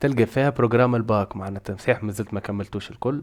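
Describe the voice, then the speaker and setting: The speech is very fast with ordinary pitch variation, on a very clean recording with a silent background. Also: man. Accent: Tunisian. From Tunisia. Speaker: programming teacher. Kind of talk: casual tutorial talk to camera.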